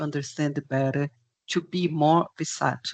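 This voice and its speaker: A woman talks with a Portuguese accent and ordinary pitch variation. The sound is dry and close, with no echo. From Portugal. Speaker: project management expert. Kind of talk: webinar presentation and Q&A. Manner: halting, many fillers.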